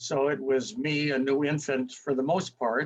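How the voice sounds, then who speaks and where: Speaking very slowly, a man with an American accent has a fairly high pitch. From US Midwest, Minneapolis. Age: 80s+. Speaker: interviewee. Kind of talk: life story interview. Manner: halting.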